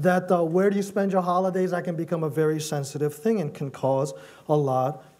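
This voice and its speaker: Audible room echo surrounds a man whose high pitch shows ordinary variation. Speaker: pastor. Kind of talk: sermon.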